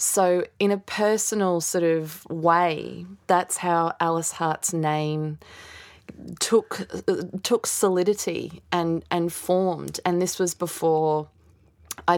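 Her voice has a fairly low pitch and fairly even intonation, in an Australian accent. The woman is on a very clean recording with a silent background. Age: 30s. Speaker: novelist. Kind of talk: casual interview.

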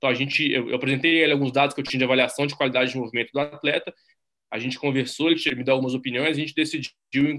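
Bright, sharp-toned man at fairly high pitch, very fast pace, monotone flat intonation. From Brazil, Minas Gerais. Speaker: strength and conditioning coach. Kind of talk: interview.

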